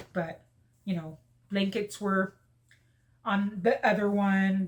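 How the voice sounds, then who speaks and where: This woman's voice is somewhat breathy and sits at a medium pitch. She talks at a very slow pace with monotone, flat intonation. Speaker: lifestyle vlogger. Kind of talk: casual chat. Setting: at home folding laundry. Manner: subdued, sad-sounding.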